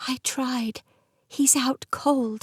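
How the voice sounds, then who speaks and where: A quiet, whispering put-on character voice. The sound is dry and close, with no echo. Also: woman. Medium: read story. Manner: whispering, hushed.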